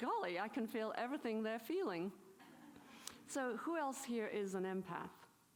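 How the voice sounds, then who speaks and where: A woman with an English accent speaks at a moderate pace and a fairly high pitch, her intonation lively and her tone animated. Her loudness stays very even, with audible room echo and noticeable background noise. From England. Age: 70s. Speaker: spiritual teacher. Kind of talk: conference talk. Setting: stage with audience.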